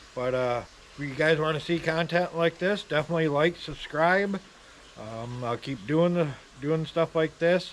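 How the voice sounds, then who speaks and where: Mumbling with an American accent, a man of fairly high pitch speaks at a moderate pace with ordinary pitch variation. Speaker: leech trapper and bait shop owner. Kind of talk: casual outdoor how-to vlog. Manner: mumbling, many filler ums.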